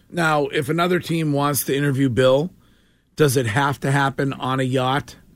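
The recording is very clean, with a silent background. A man uses a normal speaking voice, fairly high in pitch, with fairly even intonation at a moderate pace. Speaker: sports radio host. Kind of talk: casual sports talk radio. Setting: radio studio.

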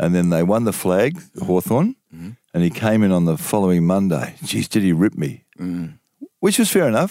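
With an Australian accent, a man speaks at a moderate pace in a very deep, low pitch and a dark, mellow tone. His intonation is lively, and the sound is dry and close with no echo. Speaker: veteran sports journalist. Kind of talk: casual chat.

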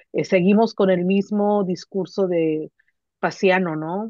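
A woman of medium pitch speaks in a plain, everyday voice with ordinary pitch variation. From Mexicali, Baja California, Mexico. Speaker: literature professor. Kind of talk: casual conversation.

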